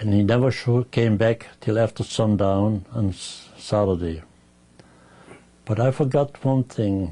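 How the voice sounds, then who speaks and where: Fairly low in pitch with a dark, mellow tone, a man speaks somewhat breathily at a fairly slow pace with ordinary pitch variation. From Germany. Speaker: Holocaust survivor. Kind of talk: oral history interview.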